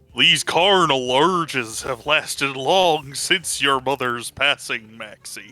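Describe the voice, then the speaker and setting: Using a put-on character voice at a medium pitch, a man speaks at a fairly slow pace with hardly any pauses. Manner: goofy.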